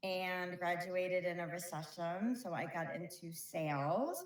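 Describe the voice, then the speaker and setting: A woman's fairly low voice with a slight Brooklyn accent. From New York, Brooklyn. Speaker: flooring company operations director. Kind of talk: interview.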